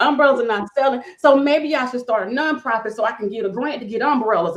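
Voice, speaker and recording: This woman has an animated tone and a fairly high pitch, with ordinary pitch variation. Noticeable background noise can be heard. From US South, rural. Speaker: nonprofit funding consultant. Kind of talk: podcast interview. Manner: fast.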